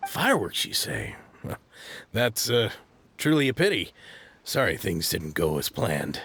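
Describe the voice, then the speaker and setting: A man's raspy put-on character voice at medium pitch, with very wide pitch swings, a moderate pace and long, frequent pauses. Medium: video game. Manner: hesitant, stammering.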